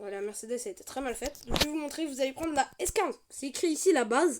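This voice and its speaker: Her pitch high and her intonation lively, a woman speaks at a very fast pace. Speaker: gaming youtuber. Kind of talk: gameplay tutorial. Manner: casual, hesitant.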